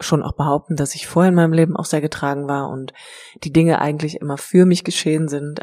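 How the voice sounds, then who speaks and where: A woman speaks in a very deep, low voice with a dark, mellow tone and fairly even intonation. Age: 30s. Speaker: life coach and yoga teacher. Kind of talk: personal monologue. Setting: empty house being cleared. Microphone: echo in the room.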